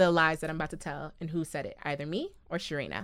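A woman speaks very fast in a fairly low voice with a playful tone. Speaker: podcast co-host. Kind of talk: casual chat. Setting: studio. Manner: laughs often, playful.

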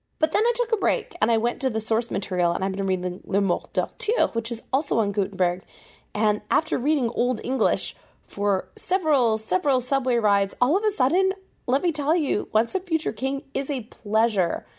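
A woman races along fairly quickly, her high voice swinging through a very wide pitch range. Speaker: podcast host and singer. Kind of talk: casual monologue. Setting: recording alone while traveling.

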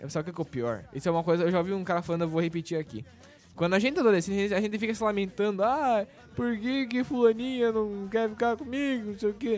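A man's high-pitched, very fast delivery with lively intonation. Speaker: podcast host. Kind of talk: casual chat.

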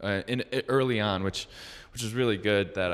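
A man at a moderate pace. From Metro Detroit, Michigan. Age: 20s. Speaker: athletic trainer. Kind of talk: casual interview. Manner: halting, many fillers and restarts.

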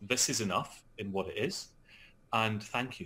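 A man with a Scottish accent at medium pitch and a fairly slow pace, in a very clean recording with a silent background. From Scotland. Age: 40s. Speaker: actor and author. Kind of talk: interview. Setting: call.

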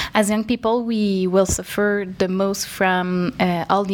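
A woman speaks with a Quebec accent in a monotone, flat intonation. Noticeable background noise is present. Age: 20s. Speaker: NGO executive director. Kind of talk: interview. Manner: hesitant, many fillers.

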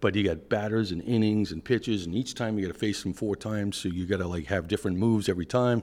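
With a Boston accent and a fairly low pitch, a man speaks at a very fast pace in a very clean recording with a silent background. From Boston, US Northeast. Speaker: product executive at energy data company. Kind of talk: casual interview conversation.

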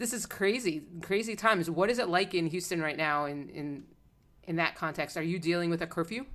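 A woman speaks in an American accent at a fairly quick pace, with fairly low pitch and ordinary pitch variation. It is an ordinary speaking voice on a very clean recording with a silent background. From South Florida. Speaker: podcast host. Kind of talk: interview.

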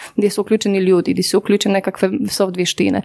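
A woman with a Polish accent talks at a very fast pace in a medium pitch, her tone dark and mellow. The recording is very clean, with a silent background. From Poland. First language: Polish (speaking Croatian). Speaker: business consultant. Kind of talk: interview.

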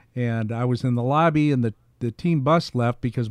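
A man with an American accent speaks in an ordinary speaking voice at medium pitch and a moderate pace, his intonation lively, the sound dry and close with no echo. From US Midwest, Pekin, Illinois. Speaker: retired TV sportscaster, podcaster. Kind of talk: casual interview.

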